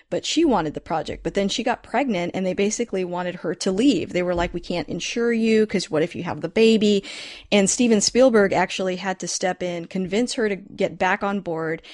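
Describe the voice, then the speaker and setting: With hardly any pauses, a woman speaks at a fairly quick pace in a normal speaking voice, at medium pitch with ordinary pitch variation, against a quiet background. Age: 30s. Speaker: podcast host. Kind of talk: casual chat.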